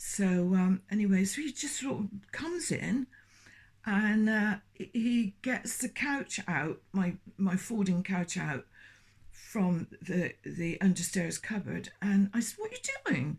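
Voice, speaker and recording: In a very clean recording with a silent background, a woman of medium pitch talks at a very slow pace, somewhat breathy, with lively intonation. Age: 70s. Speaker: former Jehovah's Witness sharing experiences. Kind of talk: personal testimony. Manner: halting, many hesitations and restarts.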